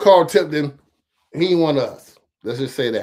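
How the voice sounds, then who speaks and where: His voice sits at a fairly high pitch. The man keeps to a moderate pace. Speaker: political commentary streamer. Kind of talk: casual commentary livestream. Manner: halting.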